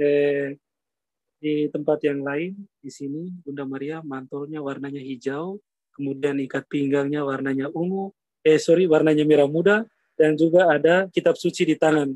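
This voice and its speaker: Speaking at a moderate pace with fairly even intonation, a man with a fairly high voice swings widely in loudness, recorded dry and close with no echo. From Flores, Indonesia. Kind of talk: guided tour on live video call. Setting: outdoors at grotto, Zoom call. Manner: soft-spoken.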